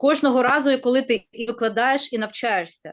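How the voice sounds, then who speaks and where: Speaking at a fairly quick pace in a Ukrainian accent, a woman uses a high pitch and lively intonation. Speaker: university teacher. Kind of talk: webinar discussion. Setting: online webinar video call. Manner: hesitant with fillers.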